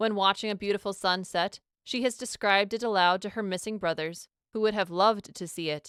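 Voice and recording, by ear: With a quiet background, the speaker is reading aloud in a natural voice.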